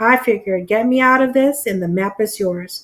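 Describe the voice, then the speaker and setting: A woman puts on a gruff character voice at a fairly high pitch. She speaks at a moderate pace with ordinary pitch variation. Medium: read story. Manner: gruff, low, muttering.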